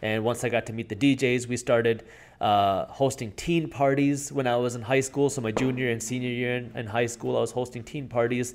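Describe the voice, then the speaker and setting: A man talks in an ordinary speaking voice at a fairly quick pace, medium in pitch with ordinary pitch variation. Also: very clean recording, silent background. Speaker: entrepreneur and YouTuber. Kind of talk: casual interview.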